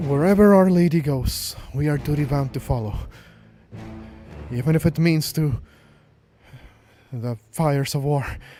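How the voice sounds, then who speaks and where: In a put-on character voice, a man speaks at a fairly high pitch and moderate pace, sounding nervous and shaky with long, frequent pauses and music in the background. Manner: nervous, trembling.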